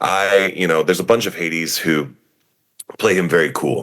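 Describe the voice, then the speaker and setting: A man with an American accent. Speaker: stage actor. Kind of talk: interview. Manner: loud; animated.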